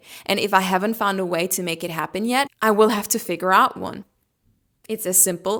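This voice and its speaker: This woman has a bright, sharp, animated tone and a medium pitch. She speaks with a German accent. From Germany. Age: 30s. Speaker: lifestyle vlogger. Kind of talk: casual vlog monologue.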